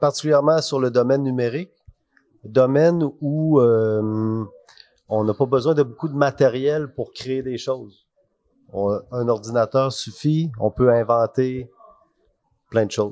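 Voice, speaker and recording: With a Canadian French accent, the speaker goes at a very slow pace with long, frequent pauses, a dark, mellow tone and ordinary pitch variation. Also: man, medium pitch for a man. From Canada (Quebec). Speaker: IT architect. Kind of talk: TV interview. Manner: hesitant, many fillers.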